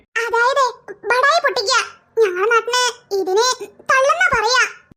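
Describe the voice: A squeaky, cartoonish character voice speaks at a moderate pace. Its pitch varies in an ordinary way. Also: woman, extremely high pitch for a woman.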